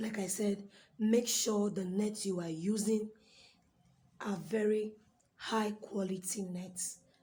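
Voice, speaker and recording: Against noticeable background noise, a woman speaks at a very slow pace and medium pitch, her intonation monotone and flat, with long, frequent pauses. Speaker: fashion designer. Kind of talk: tutorial.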